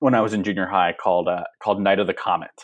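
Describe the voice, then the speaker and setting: Speaking with a Californian accent, a man uses a fairly low pitch with ordinary pitch variation. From Los Angeles, San Fernando Valley. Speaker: TV writer and showrunner. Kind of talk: interview. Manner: halting, with frequent fillers and repetitions.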